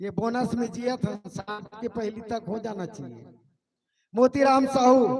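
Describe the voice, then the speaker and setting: Very slow speech comes from a man with a high pitch. His pitch varies in an ordinary way while his loudness swings widely. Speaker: event announcer. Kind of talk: stage announcement. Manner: casual.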